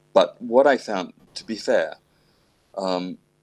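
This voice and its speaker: The voice belongs to a man with an Australian accent. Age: 60s. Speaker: classical pianist. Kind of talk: casual chat.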